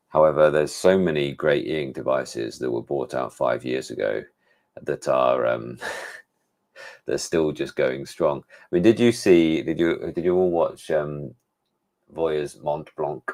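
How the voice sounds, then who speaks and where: With an English accent, the speaker talks at a fairly slow pace, with big swings in loudness and ordinary pitch variation. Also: man, very deep, low pitch for a man. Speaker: tech reviewer. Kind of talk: live stream chat. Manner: casual, hesitant with fillers.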